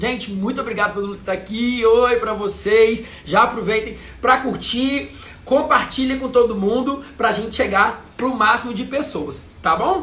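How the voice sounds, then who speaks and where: A man with an extremely high voice speaks at a fairly slow pace in a raised, projected, animated tone with ordinary pitch variation, amid noticeable background noise and audible room echo. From Brazil, interior of Minas Gerais. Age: 30s. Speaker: travel content creator. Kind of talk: live stream chat. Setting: live video stream.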